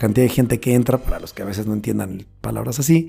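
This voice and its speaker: A man with a medium-pitched voice speaks at a very fast pace while music plays in the background. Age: 40s. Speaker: events bar business owner. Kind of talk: casual interview.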